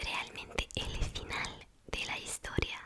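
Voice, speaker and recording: A whisper comes through over noticeable background noise. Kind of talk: ASMR whispering, personality test commentary. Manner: whispered.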